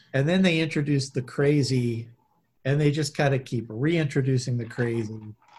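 With an American accent, a man talks at medium pitch and a moderate pace. His voice is somewhat breathy, with ordinary pitch variation. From US Midwest. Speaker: podcast co-host. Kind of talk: casual chat.

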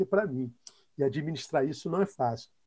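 A man's dark, mellow voice with very wide pitch swings, at a moderate pace. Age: 50s. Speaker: pastor. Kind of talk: casual chat.

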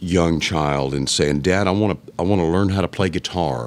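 In a Texan accent, a man with a very deep, low pitch talks with ordinary pitch variation amid noticeable background noise. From South Texas, Alice. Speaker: musician. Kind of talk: casual chat. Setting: boot shop.

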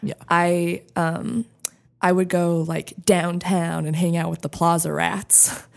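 A woman's very slow speech on a very clean recording with a silent background. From US Southwest, Santa Fe, New Mexico. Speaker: podcast guest sharing addiction and rehab story. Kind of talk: casual chat, personal testimony. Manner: animated, laughs often.

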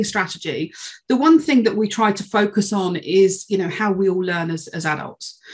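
A somewhat breathy woman with a British accent, at a moderate pace with ordinary pitch variation. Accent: UK English. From UK. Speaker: sales learning and development head. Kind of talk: interview conversation.

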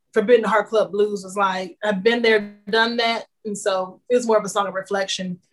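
Speaking with an American accent in a normal speaking voice, a woman keeps a fairly quick pace and fairly even intonation. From Kansas City, Kansas. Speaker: singer-songwriter. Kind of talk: interview.

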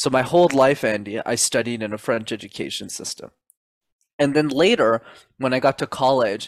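In an unremarkable speaking voice, a man with a Canadian accent speaks at a medium pitch and moderate pace with ordinary pitch variation, the sound dry and close with no echo on a very clean recording with a silent background. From Montreal, Canada. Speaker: public speaking coach. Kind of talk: interview.

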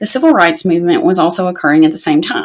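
A woman's voice over noticeable background noise. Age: 30s. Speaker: podcast host. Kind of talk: casual book talk monologue. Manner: hesitant, many fillers.

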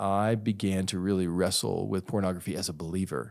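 Here is a man with a normal speaking voice and a fairly low pitch. His pitch varies in an ordinary way, and the recording is very clean with a silent background. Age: 40s. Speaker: pastor and author. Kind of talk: interview conversation.

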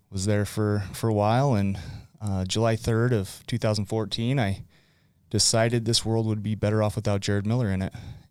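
In a very clean recording with a silent background, a man with a Utah accent speaks fairly quickly in a fairly low, monotone, flat voice. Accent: Utah American. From Utah (West Point). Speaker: recovery speaker and former teacher. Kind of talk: casual interview. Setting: studio.

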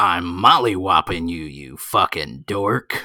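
A put-on character voice from a man, raspy and very deep, delivered at a fairly slow pace. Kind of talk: sports broadcast. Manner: boastful, taunting, announcer-style.

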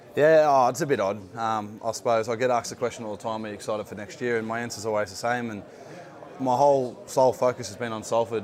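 Talking very fast in an Australian accent, a man keeps a medium pitch and fairly even intonation. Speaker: rugby league player. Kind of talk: interview. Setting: playoffs media day at a stadium.

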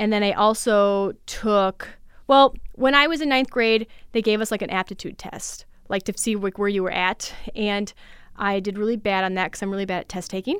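On a very clean recording with a silent background, a normal speaking voice with an American accent holds a moderate pace and ordinary pitch variation. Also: woman, medium pitch for a woman. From Minnesota, west central (Litchfield). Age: 30s. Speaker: artist and arts nonprofit director. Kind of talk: interview conversation. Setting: studio.

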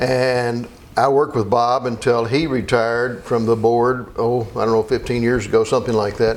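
Monotone and flat, a man with a Kentucky accent speaks at a moderate pace and medium pitch, his loudness very even. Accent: Kentucky, US South. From Kentucky (Meade County / Elizabethtown area). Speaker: attorney. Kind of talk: interview.

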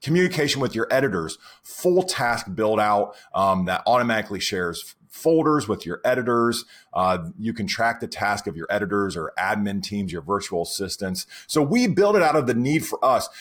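Very wide pitch swings and big jumps in loudness at a moderate pace, on a very clean recording with a silent background. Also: man, medium pitch for a man. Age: 40s. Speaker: software company founder and podcast co-host. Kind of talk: casual chat.

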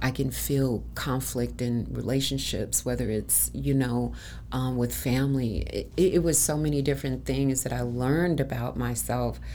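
With an American accent, a woman speaks at a moderate pace in a room with audible echo. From Chicago. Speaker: massage therapist and event organizer. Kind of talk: casual interview.

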